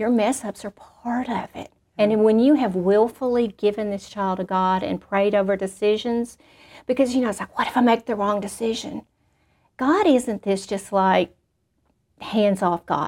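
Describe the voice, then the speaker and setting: In a Southern US accent, a woman speaks at a fairly high pitch with ordinary pitch variation, recorded very cleanly against a silent background. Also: moderate pace. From Arkansas. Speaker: school principal. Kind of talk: testimony.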